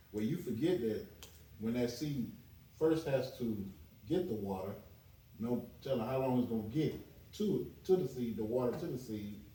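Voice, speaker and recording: Amid audible room echo, a man with a dark, mellow, somewhat breathy tone speaks at a moderate pace with lively intonation and long, frequent pauses. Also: medium pitch for a man. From US South. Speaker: chef. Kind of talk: podcast interview.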